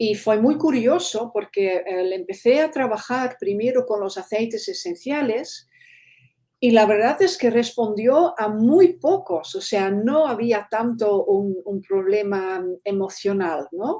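A woman's fairly high voice with a dark, mellow tone and lively intonation at a very slow pace. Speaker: animal aromatherapist. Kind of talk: interview.

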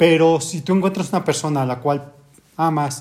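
Somewhat breathy, a man speaks with fairly even intonation. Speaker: orthopedic surgeon. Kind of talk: casual chat. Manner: soft-spoken.

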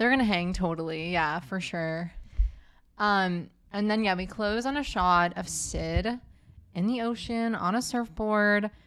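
An ordinary speaking voice with ordinary pitch variation at a fairly slow pace, on a very clean recording with a silent background. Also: woman, medium pitch for a woman. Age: 20s. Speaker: podcast co-host. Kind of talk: casual chat.

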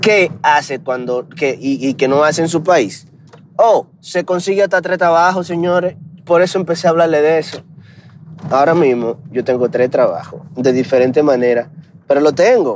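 A man with a Dominican accent at a moderate pace, with ordinary pitch variation and noticeable background noise. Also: fairly high pitch for a man. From Dominican Republic. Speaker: podcaster. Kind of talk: casual monologue. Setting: in a car.

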